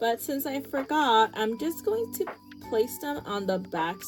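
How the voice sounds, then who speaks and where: Behind her there is music. The woman's voice sits at a fairly high pitch. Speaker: small business crafter. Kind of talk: casual talk to camera. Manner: hesitant, many fillers.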